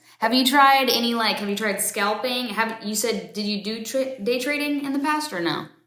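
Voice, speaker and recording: Over noticeable background noise, a woman speaks at a moderate pace. Her pitch is fairly high. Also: ordinary pitch variation, hardly any pauses. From Florida. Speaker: interviewer, trader. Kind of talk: casual interview chat.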